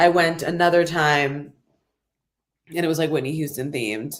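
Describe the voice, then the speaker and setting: A woman with an American accent, fairly low in pitch, with ordinary pitch variation and long, frequent pauses. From Los Angeles. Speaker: singer-songwriter. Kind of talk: interview answer. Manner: casual, chatty.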